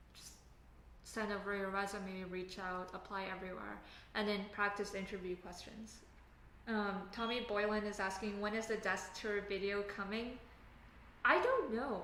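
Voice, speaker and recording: Through noticeable background noise and audible room echo, a woman speaks in a medium-pitched, flat monotone with long, frequent pauses. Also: moderate pace. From Canada. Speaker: software engineer live streamer. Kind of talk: casual live stream chat. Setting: live stream at home desk. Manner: casual, halting with fillers.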